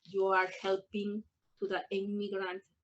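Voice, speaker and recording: A woman with a Peruvian accent speaks at a medium pitch. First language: Spanish. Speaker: adult English student. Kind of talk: personal testimony. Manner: halting, hesitant.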